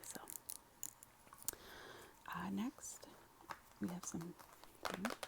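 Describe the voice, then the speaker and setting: There is noticeable background noise. Over it, a woman whispers. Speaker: ASMR creator. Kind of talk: ASMR whispered chit chat to camera. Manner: whispered, soft-spoken.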